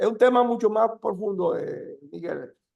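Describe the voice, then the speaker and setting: A man speaks at a fairly slow pace. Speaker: deputy minister, energy official. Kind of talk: webinar presentation Q&A. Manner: halting.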